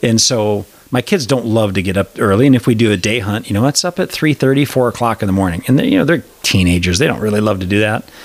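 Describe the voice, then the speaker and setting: A man with an American accent and fairly low pitch, very fast pace, ordinary pitch variation and very even loudness, amid noticeable background noise. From Wisconsin. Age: 40s. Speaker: podcast host. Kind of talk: casual interview chat.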